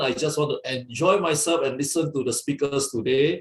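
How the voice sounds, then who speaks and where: A man with an energetic tone at a moderate pace. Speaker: fellowship leader. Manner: loud.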